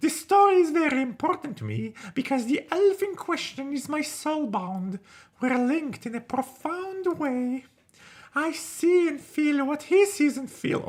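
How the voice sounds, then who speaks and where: The pitch is high in this put-on character voice. Its pace is moderate. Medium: game stream. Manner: earnest, heartfelt.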